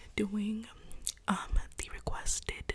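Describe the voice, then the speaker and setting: A soft-spoken woman talks very slowly in a flat monotone. Background noise is noticeable. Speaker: ASMR creator. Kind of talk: makeup tutorial talk to camera.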